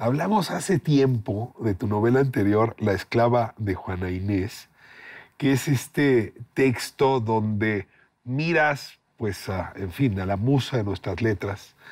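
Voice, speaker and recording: Very slow, lively intonation from a man at medium pitch, on a very clean recording with a silent background. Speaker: TV host. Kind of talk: interview question.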